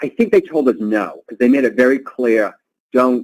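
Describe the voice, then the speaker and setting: Lively intonation marks this man's speech. He has a medium-pitched voice with a Boston accent. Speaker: travel industry executive. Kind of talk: webinar interview answer.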